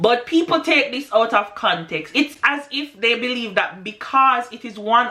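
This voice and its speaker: Noticeable background noise sits behind this recording. A woman speaks at a fairly slow pace. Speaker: English teacher in Japan. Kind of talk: casual talk to camera.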